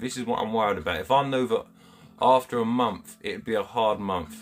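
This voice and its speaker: A man with a Kent accent talks at a fairly quick pace over noticeable background noise. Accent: Chatham, Kent. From Kent, England (Chatham). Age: 30s. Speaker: angling livestreamer. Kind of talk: live stream chat with viewers. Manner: animated; halting.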